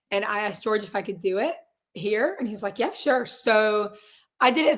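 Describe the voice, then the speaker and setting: A woman is speaking. She keeps a moderate pace. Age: 20s. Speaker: singer and realtor. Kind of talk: interview. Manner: casual.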